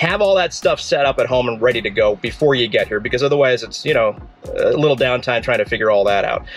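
A man talking very fast, with faint music in the background. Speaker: car vlogger. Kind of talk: tutorial. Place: car. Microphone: phone near.

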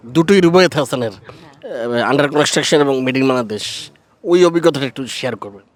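Speaking in an ordinary speaking voice, a man holds a fairly high pitch and shows ordinary pitch variation. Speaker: entertainment journalist. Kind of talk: interview; reporting to camera. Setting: outdoors, festival rooftop.

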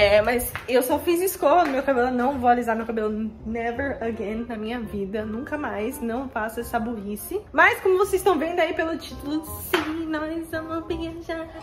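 Faint music sits in the background while a woman talks at a moderate pace with hardly any pauses. Her pitch is high and her intonation lively. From Brazil (São Paulo), moved to the US at 11. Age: 20s. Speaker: vlogger. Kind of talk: casual talk to camera. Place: home room. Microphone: phone near.

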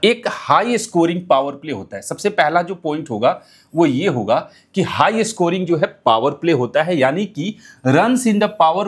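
Over a quiet background, a man with a high pitch speaks with lively intonation. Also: fairly slow pace. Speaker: fantasy cricket tutor. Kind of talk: tutorial. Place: studio. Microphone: lapel.

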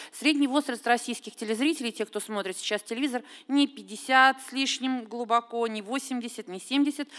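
With big swings in loudness, a woman speaks at a high pitch with ordinary pitch variation against a quiet background. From Russia. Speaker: television critic; audience commentator. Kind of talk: panel discussion. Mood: earnest, critical. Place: hall. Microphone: podium.

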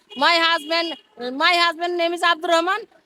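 A woman with an extremely high pitch projects a raised voice in a bright, sharp tone, keeping her intonation fairly even. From Bangladesh, Dhaka district. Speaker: street dweller. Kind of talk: street interview. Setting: outdoors by a busy road.

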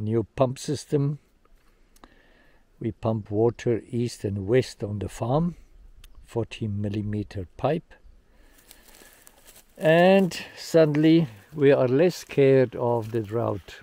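A man's dark, mellow tone at a very slow pace, with long, frequent pauses. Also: dry sound with no echo. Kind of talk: casual vlog chat. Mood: calm, hopeful. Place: farm machine. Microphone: phone near.

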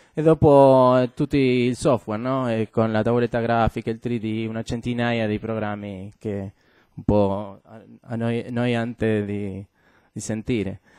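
A man speaks at a very slow pace in a Spanish accent, his tone dark and mellow with fairly even intonation. The background is quiet and the sound is dry, with no echo. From Argentina, Buenos Aires. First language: Spanish (speaking Italian). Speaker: game designer; guest. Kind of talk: talk to students. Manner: halting, many fillers. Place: classroom.

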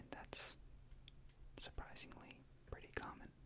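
Whispering, a man speaks at a fairly slow pace. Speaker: video creator. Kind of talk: ASMR explanation to camera. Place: home room. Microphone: studio mic.

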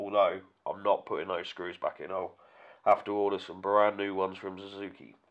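The setting is quiet. The man keeps a moderate pace. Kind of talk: tutorial. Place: workshop. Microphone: camera far.

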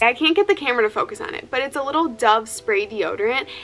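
A woman's voice with lively intonation. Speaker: fitness vlogger. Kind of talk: casual vlog chat. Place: home room. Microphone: phone near.

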